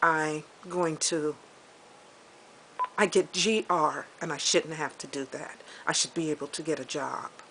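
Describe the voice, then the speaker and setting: Speaking in a very deep, low pitch, a woman leaves long, frequent pauses and swings widely in loudness. Noticeable background noise runs underneath. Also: fairly even intonation, fairly slow pace. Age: 60s. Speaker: vlogger. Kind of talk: personal video diary. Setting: outdoors, walking with camera. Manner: halting.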